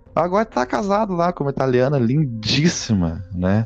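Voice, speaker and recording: A man speaks with a southern Brazilian accent, his pitch swinging very widely. Music plays in the background. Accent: gaúcho Brazilian Portuguese. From southern Brazil (Rio Grande do Sul). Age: 20s. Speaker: podcast co-host, advertising professional. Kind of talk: casual chat.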